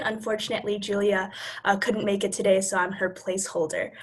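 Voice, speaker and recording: Someone talks at a fairly quick pace with noticeable background noise behind them. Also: woman. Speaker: student group vice president. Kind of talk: panel introduction. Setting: video call.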